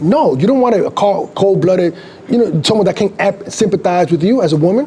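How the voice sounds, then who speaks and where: Over noticeable background noise, a man talks at a very fast pace in an animated tone with lively intonation. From Dominican Republic. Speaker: street preacher. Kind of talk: heated debate.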